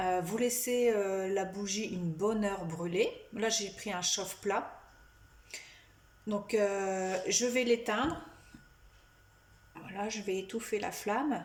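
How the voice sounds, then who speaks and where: A woman speaks at a very slow pace and a medium pitch, with ordinary pitch variation, long, frequent pauses, and audible room echo. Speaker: psychic medium. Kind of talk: tutorial. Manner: halting.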